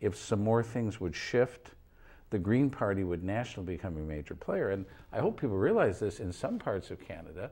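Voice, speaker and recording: On a very clean recording with a silent background, a man with an American accent speaks at a fairly quick pace in a dark, mellow, somewhat breathy tone, fairly low in pitch with ordinary pitch variation. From US Midwest, Battle Creek, Michigan. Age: 60s. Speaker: political activist. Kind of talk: talk show interview.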